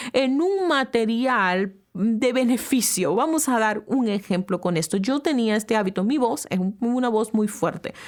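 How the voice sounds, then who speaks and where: Animated and fairly high-pitched, a woman speaks at a fairly slow pace with very wide pitch swings. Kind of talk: talk to camera. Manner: loud.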